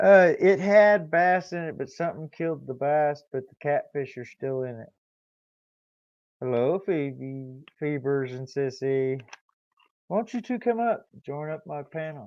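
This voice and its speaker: A man with a normal speaking voice and fairly high pitch talks at a fairly slow pace, his intonation lively and his loudness swinging widely. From Kansas City, Missouri. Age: 60s. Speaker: YouTuber. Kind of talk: casual chat. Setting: live stream. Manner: relaxed.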